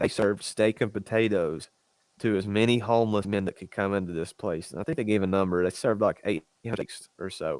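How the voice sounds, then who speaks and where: Delivered at a fairly quick pace in a Southern US accent, the speech has fairly even intonation and a dry, close sound with no echo. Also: man, fairly low pitch for a man. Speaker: fitness podcast co-host. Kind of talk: casual chat.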